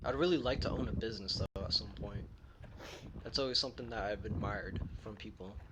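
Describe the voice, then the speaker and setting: A man talks at a fairly quick pace with very wide pitch swings. Audible room echo is heard around him. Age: 20s. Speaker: vlogger. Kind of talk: casual monologue. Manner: stuttering; halting.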